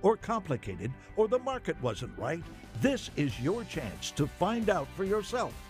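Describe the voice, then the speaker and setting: With music in the background, a man in an upbeat tone speaks at a moderate pace with very wide pitch swings. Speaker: announcer. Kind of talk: TV infomercial voice-over. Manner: upbeat, hard-sell.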